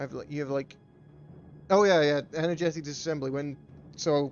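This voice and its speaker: A man speaks at a moderate pace with fairly high pitch and fairly even intonation. Music plays in the background. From England (Bristol). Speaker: game streamer and tournament caster. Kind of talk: live game commentary mixed with chat to viewers. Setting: live stream. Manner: casual, swearing, halting with restarts.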